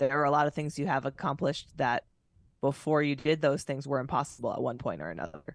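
A woman talks at a very fast pace with vocal fry and a very deep, low pitch. The sound is dry and close with no echo, over a quiet background. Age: 30s. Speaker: former fighter pilot turned motivational speaker. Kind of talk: casual interview.

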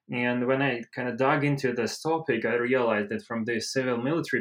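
A man with a Russian accent, fairly quick in pace and fairly even in intonation. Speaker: civil-military relations researcher. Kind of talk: expert panel discussion.

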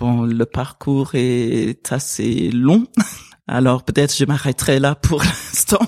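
A woman with an English accent speaks at a very slow pace in a very deep, low voice. The sound is dry and close with no echo. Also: ordinary pitch variation. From Sierra Leone. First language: English (speaking French). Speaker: pastor. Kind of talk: interview conversation. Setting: at her home.

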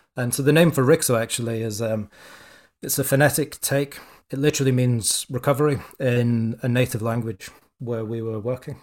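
Fairly quick speech with fairly even intonation in a Scottish accent, in a very clean recording with a silent background. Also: man, medium pitch for a man. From Scotland. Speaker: entrepreneur and former rugby player. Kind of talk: interview.

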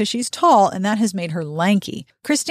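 Quiet background behind an unforced reading voice

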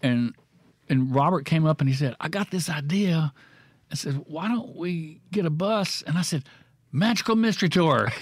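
On a very clean recording with a silent background, a man with a Mississippi accent speaks at a moderate pace and fairly high pitch with lively intonation. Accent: US Southern (Mississippi). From Mississippi (Florence and Clinton). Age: 60s. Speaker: painter. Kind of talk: casual chat. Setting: studio.

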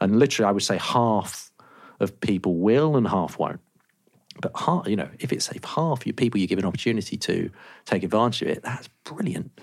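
Lively in its intonation, an unremarkable speaking voice goes along at a fairly quick pace. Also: man, fairly low pitch for a man. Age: 30s. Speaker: agency co-founder. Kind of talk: podcast interview.

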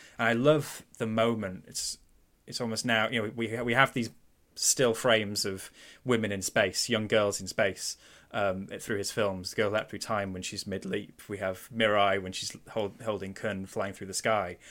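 A man with a Mancunian accent speaks at a moderate pace, his pitch fairly low and his intonation fairly even. The recording is very clean, with a silent background. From Manchester, England. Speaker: film podcast host. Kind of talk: casual film discussion.

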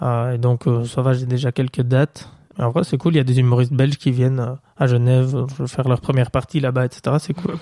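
The voice has a dark, mellow tone and a moderate pace. Its loudness stays very even. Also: man, medium pitch for a man, dry, close sound with no echo. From Belgium, Bastogne. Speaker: stand-up comedian. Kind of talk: casual chat. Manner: energetic.

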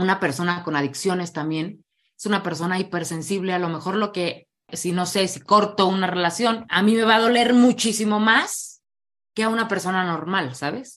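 The speaker has a Mexican accent and a moderate pace. Pitch varies in an ordinary way over a quiet background. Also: woman, medium pitch for a woman. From Mexico, Morelia. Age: 30s. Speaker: recovering alcoholic and addiction speaker. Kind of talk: testimony.

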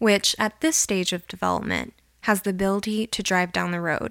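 In a plain, everyday voice, a woman talks at medium pitch and a moderate pace, on a very clean recording with a silent background and a dry, close sound with no echo. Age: 20s. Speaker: podcast host. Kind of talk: scripted narration. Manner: formal.

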